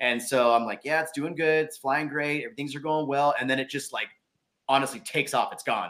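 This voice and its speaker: With big swings in loudness, a man with an American accent talks at a fairly quick pace in a bright, sharp tone, his pitch fairly high and his intonation fairly even. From Southern California. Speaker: mountain bike YouTuber. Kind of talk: casual chat.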